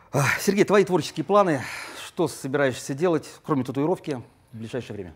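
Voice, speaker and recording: An animated man with a fairly high pitch, lively intonation and a very fast pace. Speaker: cooking show host. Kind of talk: TV cooking show hosting. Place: cafe.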